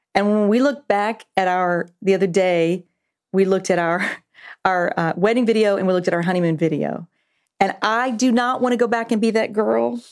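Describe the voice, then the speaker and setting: This is a normal speaking voice with ordinary pitch variation. It moves at a fairly quick pace with very even loudness. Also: woman, medium pitch for a woman. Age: 50s. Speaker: pastor. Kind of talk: casual chat.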